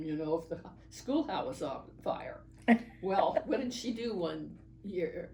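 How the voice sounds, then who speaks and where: Noticeable noise runs in the background. Over it, a woman talks fairly slowly. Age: 80s+. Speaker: oral history interviewee. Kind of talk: interview answer.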